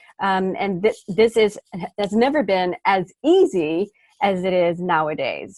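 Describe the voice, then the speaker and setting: Speaking with a slight Texas accent, a woman at medium pitch uses lively intonation, with a dry, close sound free of echo on a very clean recording over a silent background. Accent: slight Texas twang. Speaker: smartphone video trainer. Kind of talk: interview.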